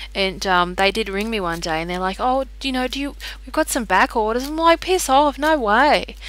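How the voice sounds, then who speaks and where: At a fairly quick pace, a woman speaks with an Australian accent. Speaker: tarot card reader. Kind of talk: casual chat. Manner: quiet; animated.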